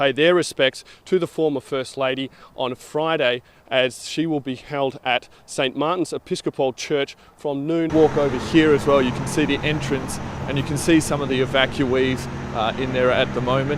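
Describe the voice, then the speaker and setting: Over noticeable background noise, a man speaks at a moderate pace. His pitch is fairly high and his intonation fairly even. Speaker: TV news reporter and anchor. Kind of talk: TV news reporting and anchoring, demo reel.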